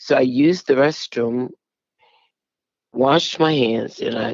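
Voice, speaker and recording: A woman's very deep, low voice with ordinary pitch variation at a very slow pace. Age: 60s. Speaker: stroke survivor. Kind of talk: testimony. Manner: halting.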